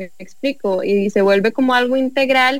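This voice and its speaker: Her pitch high, a woman talks at a fairly quick pace with fairly even intonation. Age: 20s. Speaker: entrepreneur, honey producer. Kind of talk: casual chat.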